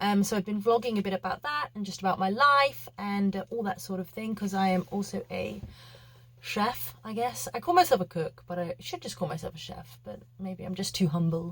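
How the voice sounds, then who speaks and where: A woman with a medium pitch and a somewhat breathy voice speaks at a moderate pace with lively intonation. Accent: British. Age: 20s. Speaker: vlogger and yacht chef. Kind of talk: casual vlog chat. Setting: small cabin on a boat. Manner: casual, hesitant with many fillers.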